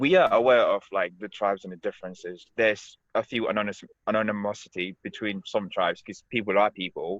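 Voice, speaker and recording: This man has a Senegalese accent and talks at a fairly quick pace with hardly any pauses. His loudness swings a lot. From Gambia. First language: Wolof. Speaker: podcast co-host. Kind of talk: casual chat.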